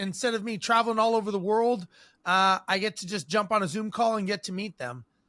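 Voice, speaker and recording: A man with an American accent speaks in a raised, projected voice, high-pitched and bright and sharp in tone, the sound dry and close with no echo. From Southern California. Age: 50s. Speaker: podcast host. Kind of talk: interview. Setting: video call.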